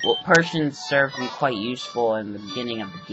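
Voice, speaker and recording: Against music in the background, the speech unfolds at a moderate pace. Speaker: video game walkthrough narrator. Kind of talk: gameplay commentary. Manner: casual, rambling.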